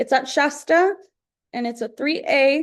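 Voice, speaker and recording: Her voice is high-pitched, and this woman uses ordinary pitch variation. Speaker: college advisor running a workshop. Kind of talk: tutorial.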